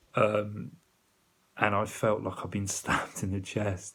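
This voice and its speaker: A man talks at a fairly slow pace. He has a British accent. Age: 30s. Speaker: video diarist in addiction recovery. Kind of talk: personal video diary.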